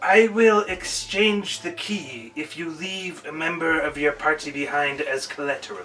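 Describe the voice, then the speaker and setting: Using a put-on character voice, a man talks at a moderate pace and fairly high pitch with hardly any pauses. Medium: actual play. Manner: formal.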